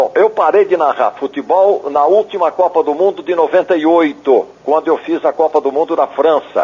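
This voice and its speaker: A man's high-pitched voice with a dark, mellow tone, ordinary pitch variation, moderate pace, hardly any pauses and very even loudness. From Brazil, interior of São Paulo state (Marília). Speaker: veteran football radio commentator. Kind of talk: interview.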